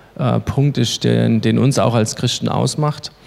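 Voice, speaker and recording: Delivered at a moderate pace, this man's voice sits at a medium pitch with ordinary pitch variation. He has a plain, everyday voice. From Baden-Württemberg, Germany (Baden-Baden). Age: 30s. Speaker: lay preacher and youth leader. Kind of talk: sermon.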